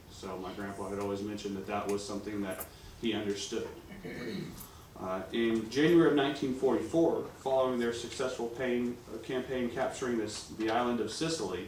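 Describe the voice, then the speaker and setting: With ordinary pitch variation, the speech moves at a fairly quick pace amid noticeable background noise. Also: man, medium pitch for a man. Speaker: grandson of a war veteran. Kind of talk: public speech presentation.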